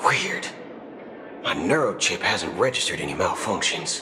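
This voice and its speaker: A man's cartoonish character voice at a moderate pace, over loud background noise. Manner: folksy drawl, slangy.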